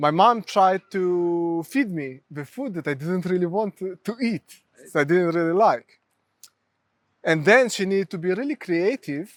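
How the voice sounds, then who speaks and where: A man speaks at a fairly slow pace with a Ukrainian accent, his pitch high for a man. The sound is dry and close, with no echo. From Ukraine. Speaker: mental health therapist. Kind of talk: interview.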